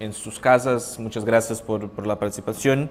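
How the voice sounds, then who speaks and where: A man with a Portuguese accent speaks at a medium pitch with fairly even intonation. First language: Portuguese (speaking Spanish). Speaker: panel moderator. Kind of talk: conference panel opening. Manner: halting.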